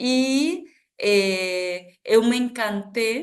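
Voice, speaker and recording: A woman with an Argentine accent speaks with ordinary pitch variation. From Argentina, Buenos Aires province. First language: Spanish (speaking Portuguese). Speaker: artist and social project founder. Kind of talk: podcast interview. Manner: halting, many fillers.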